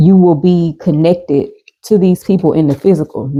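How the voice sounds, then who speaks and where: A woman's dark, mellow tone with fairly even intonation at a moderate pace. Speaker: spiritual card reader. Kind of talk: oracle card reading. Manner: stuttering when channeling messages.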